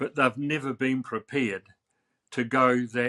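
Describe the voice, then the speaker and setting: A man with a New Zealand accent and a bright, sharp tone speaks at a fairly slow pace, the sound dry and close with no echo in a very clean recording with a silent background. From New Zealand, Wellington. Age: 80s+. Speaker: artist and author. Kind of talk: interview.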